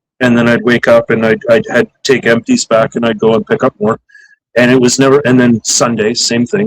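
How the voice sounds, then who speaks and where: The sound is dry and close, with no echo. A man at medium pitch talks at a fairly quick pace with fairly even intonation. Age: 40s. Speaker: photographer. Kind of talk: casual chat. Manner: halting, many fillers and restarts.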